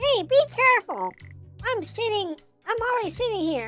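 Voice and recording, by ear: A put-on character voice, squeaky and at an extremely high pitch, talks at a moderate pace. Faint music plays in the background.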